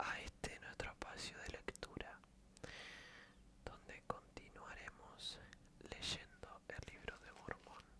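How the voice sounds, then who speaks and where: A calm whisper unfolds at a very slow pace, broken by long, frequent pauses. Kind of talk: casual greeting to viewers. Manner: soft, calm.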